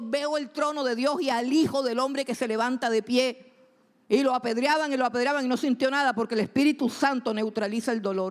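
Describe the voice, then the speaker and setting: A woman's high-pitched voice, animated in tone, at a fairly quick pace. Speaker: preacher. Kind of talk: sermon. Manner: fast.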